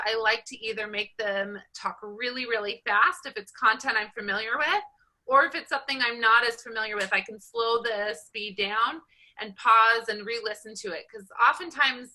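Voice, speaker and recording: This voice has a bright, sharp tone and an American accent, with ordinary pitch variation and big swings in loudness. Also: woman. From Southern California. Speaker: college statistics instructor. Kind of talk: online class lecture. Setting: video call. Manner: fast.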